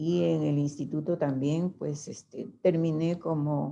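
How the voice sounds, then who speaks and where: A woman's very deep, low voice, dark and mellow, at a very slow pace with fairly even intonation. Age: 70s. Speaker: testimony giver, mother of a victim. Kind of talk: testimony.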